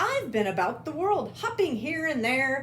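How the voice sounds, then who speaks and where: Clear background noise accompanies a woman doing a put-on character voice at a moderate pace. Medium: read story. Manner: proud, animated.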